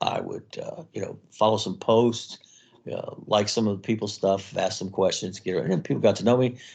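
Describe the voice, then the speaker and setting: Over a quiet background, a man talks at a fairly quick pace. His plain, everyday voice sits at a medium pitch, with fairly even intonation. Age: 60s. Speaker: author and army veteran. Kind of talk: interview.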